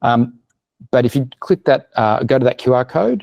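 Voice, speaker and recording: In a dry, close recording with no echo, a man with an Australian accent speaks in a dark, mellow tone. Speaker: business marketing consultant. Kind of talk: webinar presentation. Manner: fast.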